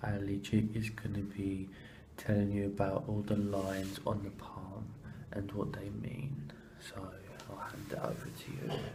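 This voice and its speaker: Over noticeable background noise, a man speaks fairly slowly with fairly even intonation. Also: fairly low pitch for a man. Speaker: hand model.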